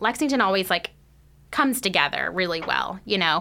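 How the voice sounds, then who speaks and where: The voice has a bright, sharp tone with vocal fry and ordinary pitch variation. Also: woman. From North Texas. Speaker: nonprofit school program director. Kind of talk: casual radio interview. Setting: studio.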